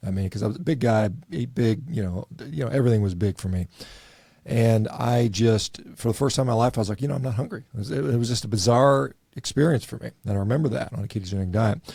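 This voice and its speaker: A man speaks at a very fast pace and medium pitch, with lively intonation. His somewhat breathy voice has a dark, mellow tone. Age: 50s. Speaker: doctor. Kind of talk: interview.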